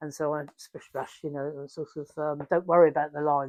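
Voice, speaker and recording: A woman's very deep, low voice with an English accent, monotone and flat in intonation, at a moderate pace, dry and close with no echo. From England. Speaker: installation artist. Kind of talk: interview answer.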